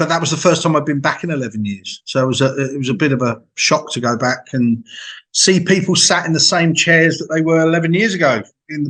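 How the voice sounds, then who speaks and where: A man's fairly quick, lively-toned speech in an English accent. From England. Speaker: music interviewer. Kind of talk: casual interview chat.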